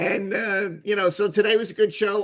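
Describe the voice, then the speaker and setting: A man is speaking. His pace is moderate. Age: 60s. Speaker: talk show host. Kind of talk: casual chat. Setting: video call. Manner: halting.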